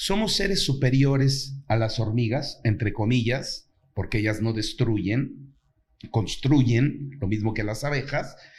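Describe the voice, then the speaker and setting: A man at a very slow pace, somewhat breathy, with ordinary pitch variation. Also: medium pitch for a man. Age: 60s. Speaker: actor and playwright. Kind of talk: interview conversation.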